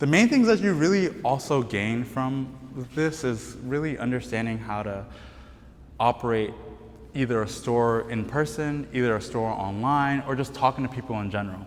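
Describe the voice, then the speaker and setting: Speaking at a moderate pace with a non-native accent, a man with a medium pitch shows ordinary pitch variation over noticeable background noise. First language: not English. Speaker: brand cofounder. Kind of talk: panel talk.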